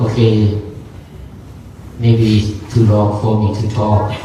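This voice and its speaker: A man with a non-native accent, fairly low in pitch and very slow, amid audible room echo and noticeable background noise. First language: not English. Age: 60s. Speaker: Buddhist monk. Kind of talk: dharma talk. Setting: gathering with audience and microphone. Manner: halting.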